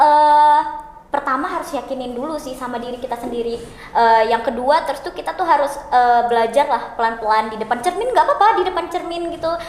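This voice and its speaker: A woman talks at a very fast pace in a high pitch. Noticeable background noise runs under her voice. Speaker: law student. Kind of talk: casual podcast chat. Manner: talkative.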